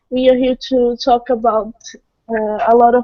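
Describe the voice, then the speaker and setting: A woman with a Portuguese accent, high-pitched and monotone, at a very slow pace, in a dry, close sound with no echo. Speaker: participant. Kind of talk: group video chat. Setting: video call.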